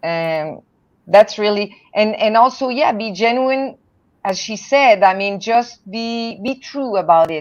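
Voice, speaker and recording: A woman's fairly high voice at a very slow pace, with ordinary pitch variation and big swings in loudness. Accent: French Canadian. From Canada, French-speaking. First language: French. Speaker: poet and translator. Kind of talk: panel discussion.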